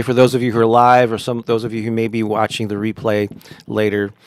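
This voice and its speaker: Speaking fairly quickly, a man talks with an American accent. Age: 60s. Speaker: affirmations coach and musician. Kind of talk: live stream chat. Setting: live stream broadcast. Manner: casual, halting.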